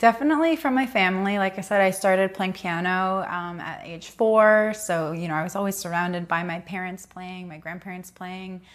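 A woman speaks at a fairly quick pace with a medium pitch and ordinary pitch variation, hardly pausing at all. The recording is very clean, with a silent background. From Southern California. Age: 30s. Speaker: head of creative at a skincare brand. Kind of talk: podcast interview.

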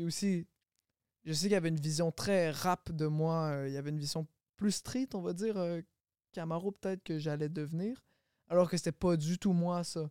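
A man's high-pitched, dark, mellow voice at a moderate pace, with fairly even intonation and long, frequent pauses, in a dry, close sound with no echo on a very clean recording with a silent background. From Quebec, Longueuil. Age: 20s. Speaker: singer. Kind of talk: casual chat.

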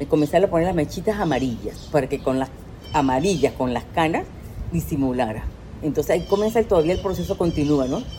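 Talking at a very fast pace, a woman sounds animated, her pitch swinging very widely, with noticeable background noise behind her. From Venezuela. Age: 60s. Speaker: life coach. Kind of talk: casual interview.

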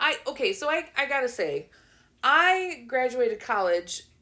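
A woman's raised, projected voice, high-pitched, bright and sharp, with very wide pitch swings and an animated tone, on a very clean recording with a silent background. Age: 20s. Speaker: podcast host. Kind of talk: casual chat.

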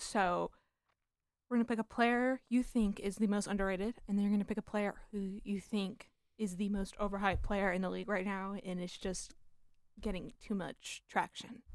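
A plain, everyday voice from a woman with an American accent, medium-pitched, at a moderate pace. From Southern California. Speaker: sports podcast host. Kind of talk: casual chat.

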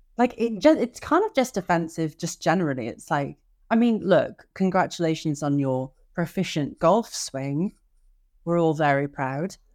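A woman speaks in a normal speaking voice at a moderate pace, her pitch fairly low. Her intonation is lively, and the recording is very clean with a silent background. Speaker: podcast co-host. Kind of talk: casual chat; news discussion.

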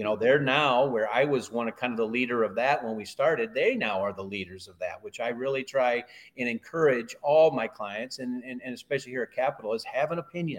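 A man with a plain, everyday voice at medium pitch talks at a fairly quick pace with hardly any pauses, big swings in loudness and ordinary pitch variation. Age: 50s. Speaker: cattle consultant. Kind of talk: casual chat.

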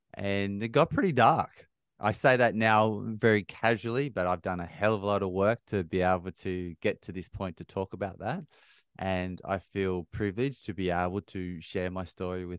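A man speaks with an Australian accent and a very deep, low pitch. The sound is dry and close, with no echo. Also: quiet background. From Australia, rural New South Wales (Bathurst). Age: 30s. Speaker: ultra-endurance athlete and mindset coach. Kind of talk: interview conversation.

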